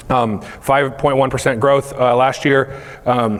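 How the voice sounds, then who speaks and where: Over noticeable background noise, a man with an American accent talks in a monotone, flat intonation. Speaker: company CEO giving keynote. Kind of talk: conference keynote. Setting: stage with audience. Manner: fast.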